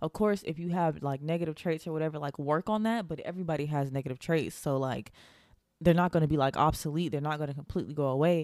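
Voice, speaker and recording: In an animated tone, a woman speaks at a very fast pace with a very deep, low pitch and ordinary pitch variation. The recording is very clean, with a silent background. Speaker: podcast host. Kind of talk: solo podcast monologue. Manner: fast talker; animated, casual.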